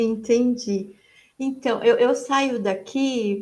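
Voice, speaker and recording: Soft-spoken and high-pitched, a woman talks at a very slow pace. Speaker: participant in online psychodrama session. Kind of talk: testimony. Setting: video call. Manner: halting.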